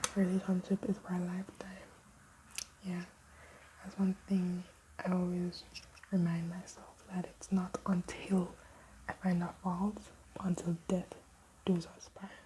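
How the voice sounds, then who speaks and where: A woman whispers at a fairly slow pace with long, frequent pauses. Noticeable background noise is present. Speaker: vlogger. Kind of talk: casual chat. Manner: whispering.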